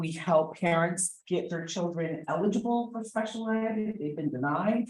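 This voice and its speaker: A woman with a New Jersey accent speaks at a fairly low pitch, somewhat breathy, with lively intonation. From New Jersey, South Jersey. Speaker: special education advocate. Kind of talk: conference presentation.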